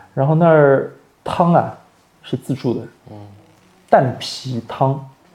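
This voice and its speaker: The speaker is a man. His voice comes across somewhat breathy. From Shanghai, Wusong (Baoshan). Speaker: fashion industry worker and food enthusiast. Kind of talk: reminiscing conversation.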